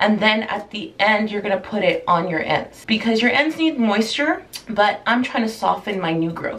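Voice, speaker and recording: Lively intonation stands out against noticeable background noise. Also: woman. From Jamaica. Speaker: beauty vlogger. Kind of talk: tutorial. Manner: casual, conversational.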